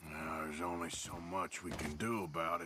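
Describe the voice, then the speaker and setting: A raspy, put-on character voice from a man, very deep and low, with fairly even intonation, a fairly quick pace and clear background noise. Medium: video game. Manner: gruff.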